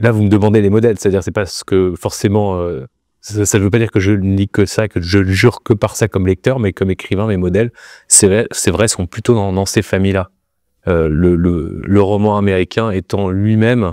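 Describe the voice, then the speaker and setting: A man speaks at a moderate pace and a fairly low pitch, with a dark, mellow tone and fairly even intonation. The sound is dry with no echo over a quiet background. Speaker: interviewee. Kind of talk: interview answer. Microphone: lapel.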